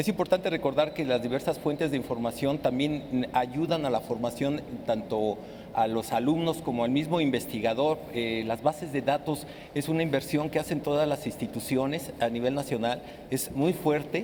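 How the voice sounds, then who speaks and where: A man speaks with a fairly high pitch and ordinary pitch variation, keeping a moderate pace while noticeable background noise runs underneath. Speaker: librarian and library science educator. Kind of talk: panel discussion. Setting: live broadcast from a library. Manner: halting.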